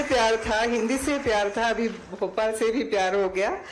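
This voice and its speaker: A woman with a Sri Lankan accent speaks at a fairly high pitch with ordinary pitch variation, over noticeable background noise and audible room echo. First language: Sinhala (speaking Hindi). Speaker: Hindi teacher, award recipient. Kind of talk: acceptance speech. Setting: stage with audience. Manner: halting, many fillers.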